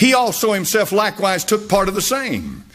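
A man speaks in a high voice at a moderate pace, with ordinary pitch variation. Music plays in the background. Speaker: pastor. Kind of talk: sermon preaching.

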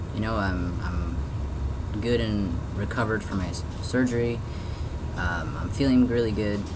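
At a fairly slow pace, a man talks over noticeable background noise. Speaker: vlogger. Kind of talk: personal video diary update. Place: home room. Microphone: webcam.

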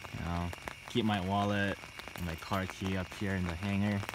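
A man talks at a moderate pace with a fairly low pitch and fairly even intonation. Clear background noise can be heard.

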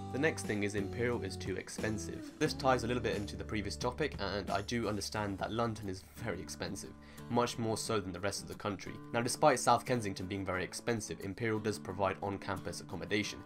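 A man talks at a very fast pace in a fairly low voice. Clear music plays in the background. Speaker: medical student vlogger. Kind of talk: casual vlog chat. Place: home room.

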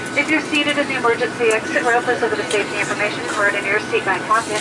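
Over loud background noise, a woman talks at a very fast pace with hardly any pauses and ordinary pitch variation. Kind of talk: safety announcement. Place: plane.

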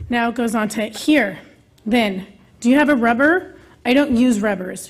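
A woman is speaking, and her voice is somewhat breathy. Her pitch variation is ordinary. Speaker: parent giving public comment. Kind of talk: public comment reading. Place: hall. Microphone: podium.

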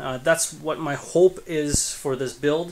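Against noticeable background noise, a man talks at a very slow pace with ordinary pitch variation. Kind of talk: casual vlog chat. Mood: relaxed, pleased. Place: home room. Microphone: phone near.

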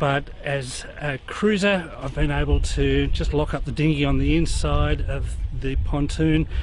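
A man's voice comes through a dry sound with no echo, over light background noise. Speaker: sailing vlogger. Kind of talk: casual vlog chat. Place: waterside. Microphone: phone near.

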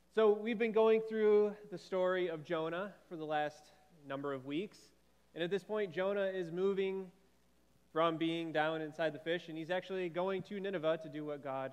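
A man speaks in a high voice at a moderate pace. His pitch varies in an ordinary way. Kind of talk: welcome and short devotional. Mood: warm, light humor. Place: church.

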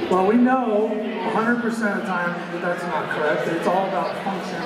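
Through loud background noise and audible room echo, a man speaks at a moderate pace. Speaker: guest. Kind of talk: talk to an audience. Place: gym.

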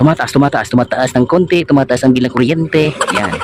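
A man's voice over noticeable background noise. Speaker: aircon technician vlogger. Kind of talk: on-site repair tutorial. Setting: outdoors at a house, hot sun. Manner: casual, with many fillers.

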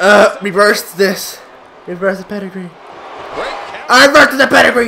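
Against noticeable background noise, a man with a high pitch uses a raised, projected voice at a moderate pace with ordinary pitch variation. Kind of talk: gameplay commentary. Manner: excitable, reactive.

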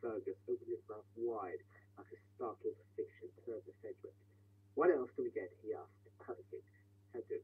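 What you hear is a natural reading voice.

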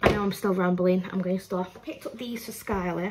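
Loud background noise around a woman's voice. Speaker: haul vlogger. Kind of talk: casual vlog chat. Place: kitchen. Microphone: phone near.

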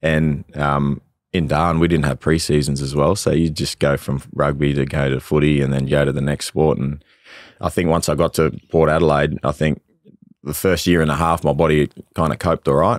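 In an Australian accent, a man with a very deep, low pitch talks at a fairly quick pace in a flat monotone, the sound dry with no echo and the background quiet. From Australia (Northern Territory). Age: young. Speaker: musician and former professional footballer. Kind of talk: casual interview. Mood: relaxed, candid. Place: studio. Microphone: studio mic.

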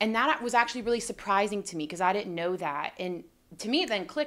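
Here a woman talks at a very fast pace. Her intonation is lively. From Florida, near Tampa. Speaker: NFL team reporter, former college athlete. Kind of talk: sports analysis discussion. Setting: studio. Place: studio. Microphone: studio mic.

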